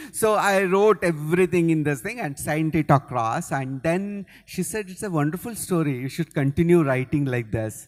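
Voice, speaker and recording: This man, with a Kannada accent, speaks at a fairly high pitch with lively intonation and hardly any pauses. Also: moderate pace. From Karnataka, India. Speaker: novelist. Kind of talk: interview on stage. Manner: halting.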